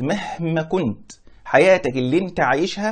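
Quiet background behind a man's voice. He speaks high for a man, with lively intonation. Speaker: religious teacher. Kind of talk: lecture. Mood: warm, smiling explanation. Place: home room. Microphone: lapel.

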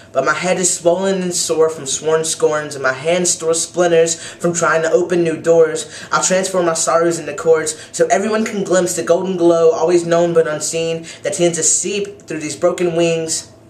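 Audible room echo surrounds a man who speaks at a moderate pace in a high-pitched, monotone, flat voice with hardly any pauses. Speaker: poet; university student. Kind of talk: poetry reading. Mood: wistful, emotional. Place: home room. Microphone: webcam.

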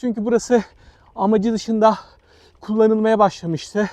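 The sound is dry and close with no echo as a man with a high pitch talks at a moderate pace. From Turkey, Izmir (Balçova). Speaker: travel vlogger. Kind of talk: vlog narration. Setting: outdoors.

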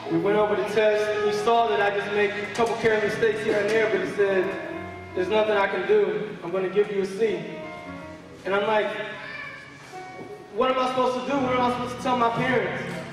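Over clear background music and audible room echo, a man talks at a fairly quick pace in a high pitch with ordinary pitch variation. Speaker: church speaker giving a testimony. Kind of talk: religious testimony, spoken in church. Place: church.

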